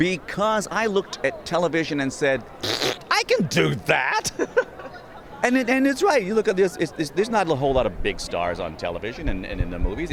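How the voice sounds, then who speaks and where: A man talking at a fairly quick pace over crowd noise in the background. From Little Rock, Arkansas. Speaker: voice actor and comedian. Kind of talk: interview answer.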